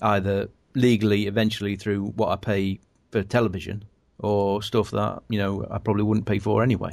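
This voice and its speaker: A man with an unremarkable speaking voice talks at a fairly quick pace with a fairly low pitch against a quiet background. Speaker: podcast host. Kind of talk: casual chat.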